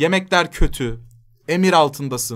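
In a quiet background, a man's speech unfolds at a fairly slow pace. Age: 30s. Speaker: streamer. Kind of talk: casual chat. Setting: live stream. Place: home room.

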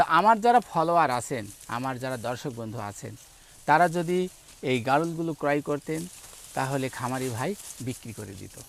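A man with a medium-pitched, plain, everyday voice uses lively intonation and big swings in loudness. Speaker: agriculture video host. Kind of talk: on-location farm interview and walkthrough.

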